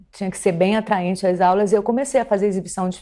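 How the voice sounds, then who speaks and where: A woman at medium pitch with fairly even intonation, on a very clean recording with a silent background. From Pará, northern Brazil (Belém). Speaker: film curator and philosophy teacher. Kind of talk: TV interview. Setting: TV studio.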